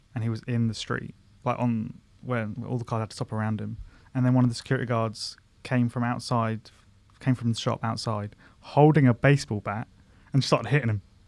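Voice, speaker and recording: A man with a southern English accent, medium pitch, fairly quick pace and monotone, flat intonation, in a very clean recording with a silent background. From Surrey, south-west London, England. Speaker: former comedian, friend of host. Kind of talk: casual chat. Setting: studio. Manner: calm.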